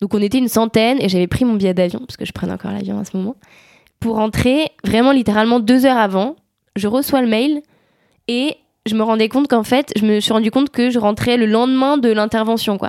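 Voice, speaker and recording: The woman's voice sits at a fairly high pitch, moving at a fairly quick pace, with a dry, close sound and no echo. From France, Savoie. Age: 20s. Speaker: climate activist. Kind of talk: interview. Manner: animated.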